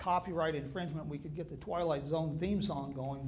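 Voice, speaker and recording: There is audible room echo around this man's voice. He speaks at a fairly quick pace in a fairly high pitch. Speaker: author and historian speaker. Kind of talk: public talk. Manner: conversational with humor.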